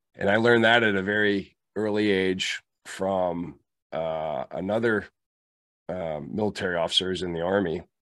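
Against a quiet background, a man speaks with a very deep, low pitch and ordinary pitch variation. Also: moderate pace. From US, moved around (Kentucky, Germany, Pittsburgh). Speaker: leadership trainer, former Marine officer. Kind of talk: interview.

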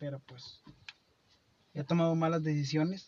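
Fairly high in pitch, a man talks at a moderate pace with fairly even intonation. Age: 30s. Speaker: podcast co-host. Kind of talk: casual chat. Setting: at a friend's home. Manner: halting.

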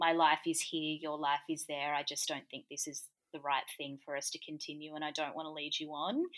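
A woman with an Australian accent and a very deep, low voice talks at a fairly quick pace in a flat monotone, with hardly any pauses. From Gold Coast, Australia. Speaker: comedian. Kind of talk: casual chat.

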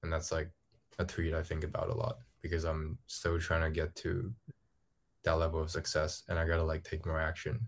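Somewhat breathy and very deep, a man's voice moves at a fairly quick pace in a very clean recording with a silent background. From Hong Kong. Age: 20s. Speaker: ghostwriter. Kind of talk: casual chat. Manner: halting, many fillers.

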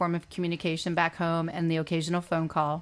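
A woman speaks at a fairly low pitch. The recording is very clean, with a silent background. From Ontario, Canada (Etobicoke). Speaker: interview guest. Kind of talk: interview. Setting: studio.

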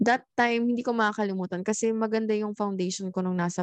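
Here is a plain, everyday voice at a fairly quick pace. The sound is dry and close with no echo, over a quiet background. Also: woman. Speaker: podcast co-host. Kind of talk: casual chat. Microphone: new microphone.

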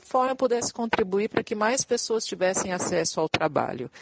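A woman speaks at a moderate pace with lively intonation in an ordinary speaking voice. Her pitch is fairly high, and the sound is dry and close with no echo. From São Paulo, Brazil. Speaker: diversity and inclusion specialist. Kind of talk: podcast interview.

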